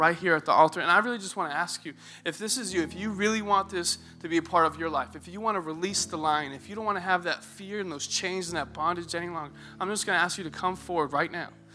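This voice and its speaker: Over music in the background, a man speaks very fast in an animated tone with a high pitch. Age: 20s. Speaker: youth pastor. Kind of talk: sermon. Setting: church stage with congregation.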